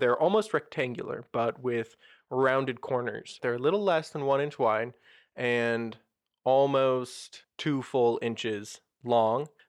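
Against a quiet background, a man with an unremarkable speaking voice talks at a medium pitch and a fairly slow pace. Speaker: game master running tabletop role-playing game. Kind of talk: tabletop roleplaying game podcast, narrating and hosting.

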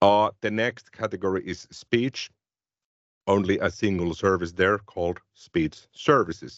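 This voice has ordinary pitch variation and a Finnish accent, moving at a fairly slow pace. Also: man, fairly low pitch for a man. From Finland. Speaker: tech podcast co-host. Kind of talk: casual tech discussion.

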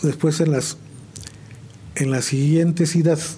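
A man's fairly high voice, fairly slow, with fairly even intonation. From central Mexico, San Juan del Río (Querétaro); born in Chihuahua. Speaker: veteran musician. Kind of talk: interview. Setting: studio. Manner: halting.

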